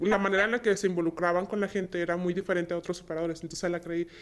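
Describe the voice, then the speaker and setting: Monotone, flat intonation against noticeable background noise. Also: woman. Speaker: logistics dispatcher. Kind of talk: casual interview chat.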